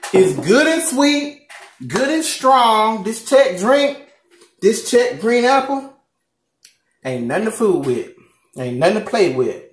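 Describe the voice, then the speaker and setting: A man with an extremely high pitch speaks very slowly in a Southern US accent, his intonation lively and broken by long, frequent pauses. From Southern United States. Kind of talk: casual mukbang talk to camera. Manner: upbeat, chatty.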